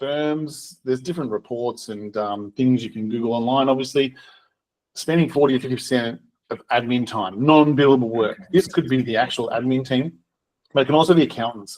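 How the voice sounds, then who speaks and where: Here a man speaks with an Australian accent at a fairly quick pace. His pitch is medium, with ordinary pitch variation. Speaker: software co-founder and accountant. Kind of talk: webinar presentation. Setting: recorded webinar. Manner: fast.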